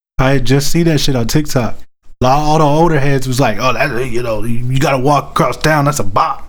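At a moderate pace, a man with a normal speaking voice talks in a fairly high pitch, with fairly even intonation and very even loudness. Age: 30s. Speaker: podcast co-host. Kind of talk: casual chat.

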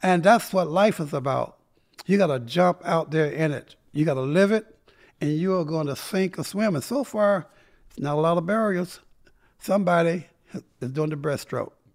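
A man with an American accent, high pitch and ordinary pitch variation. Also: moderate pace. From North Carolina. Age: 70s. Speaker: civil rights activist. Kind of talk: casual interview storytelling. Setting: studio.

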